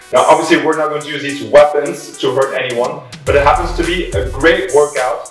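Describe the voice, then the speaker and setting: A man at a moderate pace, with faint music in the background and audible room echo. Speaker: fitness instructor. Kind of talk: tutorial. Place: empty room. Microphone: camera far.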